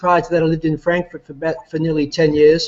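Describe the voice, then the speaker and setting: Very fast and high-pitched, a man talks with an Australian accent. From Australia, Melbourne area. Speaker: company CEO. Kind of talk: business presentation. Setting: online video call while traveling. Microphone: echo and weak internet connection.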